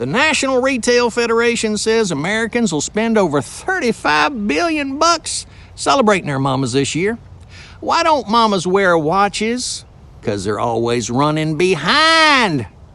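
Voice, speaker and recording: With a Southern US accent, a man talks at a moderate pace in a bright, sharp tone, his pitch swinging very widely. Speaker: voice actor. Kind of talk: humorous trivia storytelling to camera.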